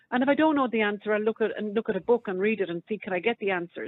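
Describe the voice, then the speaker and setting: With an Irish accent, a woman speaks at a very fast pace. Her voice is fairly high, and her intonation is lively. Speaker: radio phone-in caller. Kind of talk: casual chat.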